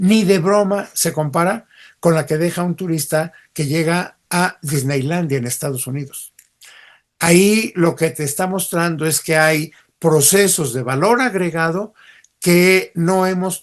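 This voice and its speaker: The man's high voice goes fairly slowly, its pitch shifting in an ordinary way. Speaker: cultural heritage expert. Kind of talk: podcast interview answer. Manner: plain-spoken.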